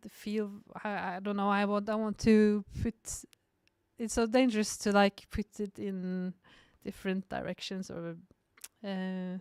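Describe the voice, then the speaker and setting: A woman with a Norwegian accent speaks fairly slowly in a monotone, flat voice, her loudness swinging widely between long, frequent pauses, on a very clean, dry, close recording with a silent background and no echo. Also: medium pitch for a woman. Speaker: cinematographer and film director. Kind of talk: podcast interview. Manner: halting.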